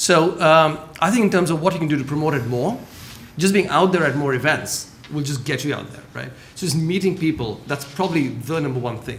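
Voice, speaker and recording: A man's fairly quick speech, fairly high in pitch with ordinary pitch variation, in audible room echo. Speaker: government trade official. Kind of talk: panel discussion. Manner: fast.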